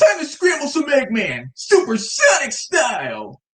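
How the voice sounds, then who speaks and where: In a put-on character voice with a high pitch, the delivery moves at a moderate pace. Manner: cartoonish, boastful.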